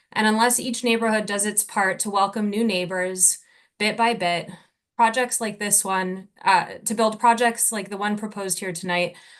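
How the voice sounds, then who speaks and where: A plain, everyday voice from a woman with an American accent, medium in pitch, with fairly even intonation at a moderate pace over a quiet background. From New Jersey. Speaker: local resident speaking at public hearing. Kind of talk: public comment.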